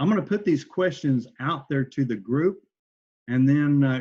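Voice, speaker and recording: This man has an unremarkable speaking voice, medium in pitch and delivered at a moderate pace. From Oklahoma. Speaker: entrepreneur, presenter. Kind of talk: online workshop presentation.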